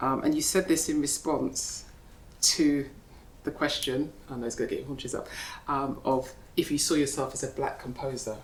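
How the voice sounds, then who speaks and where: Soft-spoken, a woman talks at a moderate pace with audible room echo. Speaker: interviewer. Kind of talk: onstage interview conversation. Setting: gallery with live audience.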